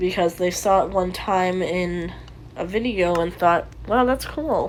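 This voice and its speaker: With noticeable background noise, a woman talks with ordinary pitch variation. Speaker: YouTuber / Minecraft builder. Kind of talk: casual walkthrough commentary. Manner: halting, many fillers.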